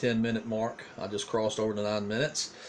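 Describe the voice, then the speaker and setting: He talks with a Southern US accent. His pitch is medium. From eastern North Carolina. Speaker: pastor. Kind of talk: casual video diary monologue. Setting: home recording on a tablet. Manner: hesitant, many fillers and repeats.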